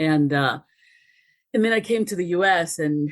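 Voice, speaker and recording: With a Spanish accent, a woman is talking. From Dominican Republic, moved to US at ten. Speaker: race relations expert. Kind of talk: podcast interview.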